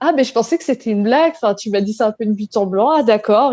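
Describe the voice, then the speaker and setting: A woman talks at a moderate pace with lively intonation and a fairly high pitch. Her tone is dark and mellow, and the sound is dry and close with no echo. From western France, La Rochelle. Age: 30s. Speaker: real estate investor. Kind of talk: interview.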